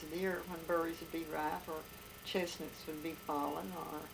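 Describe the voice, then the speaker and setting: Music plays in the background as a woman speaks with an Appalachian accent. Her pitch is fairly low. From Appalachia, USA. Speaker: grandmother recounting childhood memories. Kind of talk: interview answer, reminiscing.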